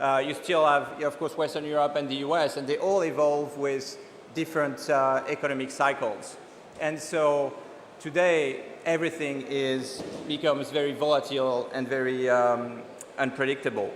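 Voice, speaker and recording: A man with a French accent, fairly high pitch for a man and fairly even intonation at a moderate pace, with noticeable background noise and audible room echo. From France. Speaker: venture capital investor. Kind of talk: keynote talk. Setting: conference stage. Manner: halting, many fillers.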